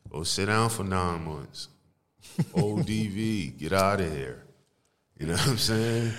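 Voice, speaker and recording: There is audible room echo as a man with a fairly low pitch speaks at a fairly slow pace, leaving long, frequent pauses. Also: lively intonation. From New Jersey, East Orange. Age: 30s. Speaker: music producer and engineer. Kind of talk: casual chat.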